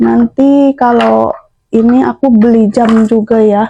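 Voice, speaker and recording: A woman speaks at a high pitch, the sound dry and close with no echo. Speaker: housewife vlogger. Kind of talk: casual vlog. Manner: chatty. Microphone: new cheap clip-on microphone.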